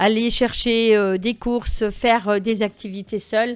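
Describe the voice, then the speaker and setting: The recording is very clean, with a silent background. In it, a woman talks at a fairly high pitch. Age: 60s. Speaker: rally participant. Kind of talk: interview. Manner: halting.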